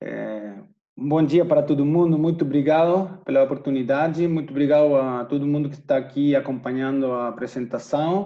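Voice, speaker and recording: A man with a fairly high pitch talks at a moderate pace with ordinary pitch variation and hardly any pauses. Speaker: tour operator representative. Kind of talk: webinar presentation. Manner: halting.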